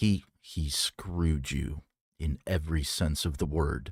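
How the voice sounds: A man puts on a character voice with an extremely low pitch, a slightly husky edge and ordinary pitch variation, moving at a slow pace. The recording is very clean with a silent background and a dry, close sound with no echo.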